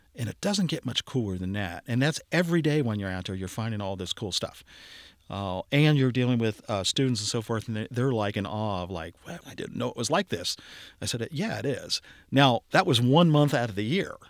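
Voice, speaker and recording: In a very clean recording with a silent background and a dry, close sound with no echo, a man with an American accent uses a plain, everyday voice at a medium pitch, with lively intonation and a fairly quick pace. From Cincinnati, Ohio. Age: 60s. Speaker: archaeology curator. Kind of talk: casual interview, storytelling.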